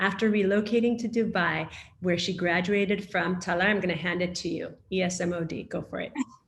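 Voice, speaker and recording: A woman talks at a fairly quick pace with an American accent and fairly even intonation. Noticeable background noise runs under her voice. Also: medium pitch for a woman. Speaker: panel moderator. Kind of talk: moderated panel discussion, reading speaker introductions.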